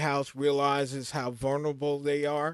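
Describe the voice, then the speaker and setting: A man with a fairly high pitch speaks at a very slow pace. The recording is very clean, with a silent background and a dry, close sound with no echo. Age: 60s. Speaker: forex trading teacher. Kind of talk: live trading class. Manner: casual, repetitive with fillers.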